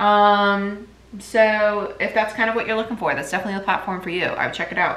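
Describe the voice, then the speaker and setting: Audible room echo and noticeable background noise surround a woman who talks very fast. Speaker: tarot reader. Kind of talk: tarot reading monologue. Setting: at home in kitchen.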